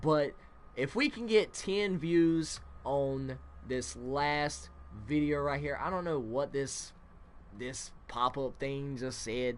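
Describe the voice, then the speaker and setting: A man mumbles. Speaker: gaming youtuber. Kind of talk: gameplay commentary. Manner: mumbling; casual, filler-heavy.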